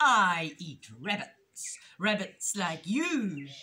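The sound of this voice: A put-on character voice moves at a very slow pace, its bright, sharp tone rising and falling in big pitch swings. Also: woman, medium pitch for a woman.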